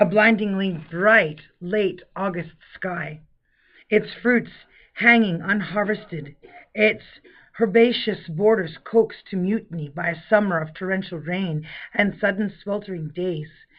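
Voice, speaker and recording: This woman has an unremarkable speaking voice, medium in pitch, with ordinary pitch variation and a fairly slow pace. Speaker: audiobook narrator. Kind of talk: audiobook narration, literary fiction reading.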